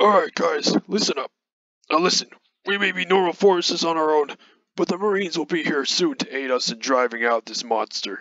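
A man's put-on character voice, high for a man, with lively intonation at a fairly quick pace. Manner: authoritative, commanding.

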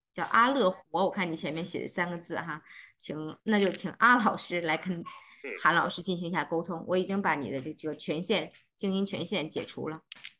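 With ordinary pitch variation, a woman's voice has a bright, sharp tone. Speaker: organizer host. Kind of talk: closing remarks. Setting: video call. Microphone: video call.

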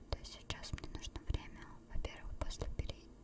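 She whispers. The voice is a woman's. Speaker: ASMR creator. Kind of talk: ASMR chat. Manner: whispered. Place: home room. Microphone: studio mic.

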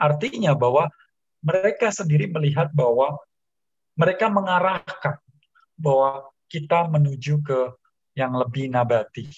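Against a quiet background, a man with a fairly high pitch and a somewhat breathy voice speaks at a fairly slow pace with long, frequent pauses. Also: ordinary pitch variation. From Indonesia. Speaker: motivator and author; talk show guest. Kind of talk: talk show interview. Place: home room. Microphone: video call.

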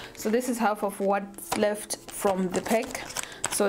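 Light background noise sits under a woman's voice. She keeps a moderate pace and fairly even intonation. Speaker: hair vlogger. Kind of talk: tutorial.

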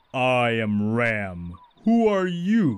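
At a medium pitch, a man performs a put-on character voice. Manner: chest-beating, boastful.

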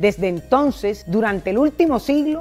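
A woman speaks over faint music in the background. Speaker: presenter. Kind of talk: history narration to camera. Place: garden. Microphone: lapel.

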